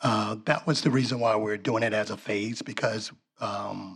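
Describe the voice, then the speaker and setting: A man's medium-pitched voice with fairly even intonation and an American accent. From US South. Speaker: property developer. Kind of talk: project presentation Q&A.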